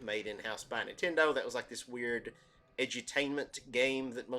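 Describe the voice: Ordinary pitch variation runs through this plain reading aloud.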